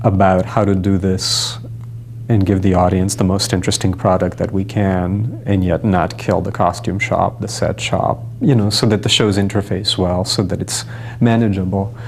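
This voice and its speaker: Noticeable background noise sits behind a man whose fairly low voice shows ordinary pitch variation. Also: moderate pace. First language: not English. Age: young. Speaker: stage director. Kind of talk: interview.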